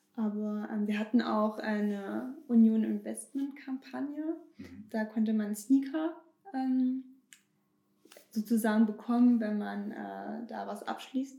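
A woman's fairly high voice at a very slow pace, with big swings in loudness and ordinary pitch variation. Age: 20s. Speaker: bank marketing employee. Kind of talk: casual interview.

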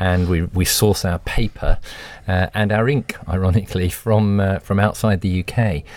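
A man speaks in a British accent at a moderate pace, his intonation fairly even. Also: fairly low pitch for a man. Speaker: CEO of a medical publisher. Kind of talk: podcast panel discussion. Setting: studio.

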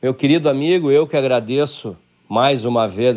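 A man speaks in a plain, everyday voice. His pace is moderate, with ordinary pitch variation. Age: 50s. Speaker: football club ex-director and commentator. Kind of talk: radio interview.

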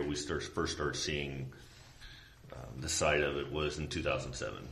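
A man with a Midwestern American accent at a fairly slow pace, with audible room echo. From Indiana, rural Tippecanoe County. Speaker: police sergeant. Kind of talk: interview.

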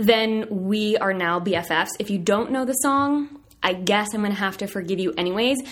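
With a slight Southern US accent, a woman speaks at a fairly high pitch and moderate pace, using ordinary pitch variation. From US South, southern Virginia. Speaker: podcast host, dietitian. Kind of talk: casual chat. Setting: office. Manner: animated.

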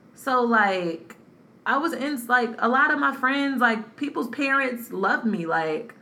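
Amid noticeable background noise and audible room echo, a woman with an American accent speaks at a high pitch with lively intonation. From North Carolina. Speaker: podcast co-host. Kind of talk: casual chat.

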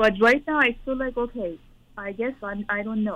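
An ordinary speaking voice from a woman at medium pitch, moderate pace and fairly even intonation. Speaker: parent. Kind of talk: personal advice call. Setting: phone call.

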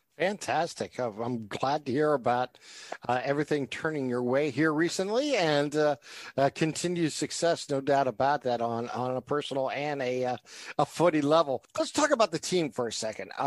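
An unremarkable speaking voice of a man with an American accent, fairly high in pitch, at a moderate pace with ordinary pitch variation and a dry, close sound with no echo. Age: 50s. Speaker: sports podcast host. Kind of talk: casual sports chat.

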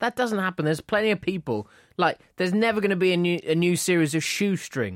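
An animated man's voice, high in pitch and very fast, with ordinary pitch variation and very even loudness. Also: dry, close sound with no echo. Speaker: podcast co-host. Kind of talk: casual banter podcast. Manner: animated, joking.

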